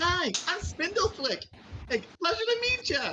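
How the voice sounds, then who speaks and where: Amid clear background noise, a put-on character voice hits an extremely high pitch with very wide pitch swings. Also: moderate pace. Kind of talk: casual greeting. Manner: cute, friendly.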